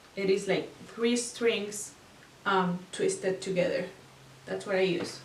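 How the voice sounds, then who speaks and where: A woman with a non-native accent speaks at a very slow pace, leaving long, frequent pauses, with fairly even intonation. Light background noise and audible room echo are present. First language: not English. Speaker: craft tutorial maker; craft instructor. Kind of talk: tutorial. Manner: casual, hesitant with fillers. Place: home room.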